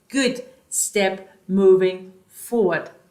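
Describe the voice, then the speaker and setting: A woman speaks with a slight German accent and ordinary pitch variation. Room echo is audible. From Germany (born East, moved West). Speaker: life coach / vlogger. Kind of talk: motivational talk to camera.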